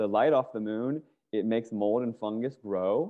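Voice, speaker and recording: Here a man with an American accent has an unremarkable speaking voice, speaking at medium pitch and a moderate pace with ordinary pitch variation. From US, Virginia (Fairfax County near Washington D.C.). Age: 40s. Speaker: activist. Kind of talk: casual chat.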